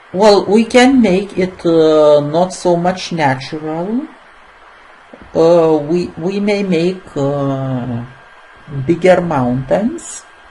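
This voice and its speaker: Very slow speech with a non-native accent amid noticeable background noise. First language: not English. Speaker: software tutorial maker. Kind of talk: screen-recorded tutorial. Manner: halting, many fillers.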